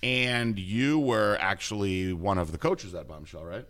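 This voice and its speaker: Here is a man with a normal speaking voice and a fairly low pitch. His intonation is lively. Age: 40s. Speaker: podcast host and former competitor. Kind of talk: casual interview.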